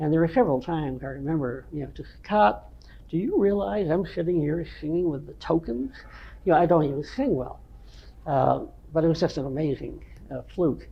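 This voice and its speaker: A man's fairly quick, lively speech at a fairly high pitch, with an American accent. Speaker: veteran rock musician. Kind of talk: interview reminiscence. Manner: halting, many fillers.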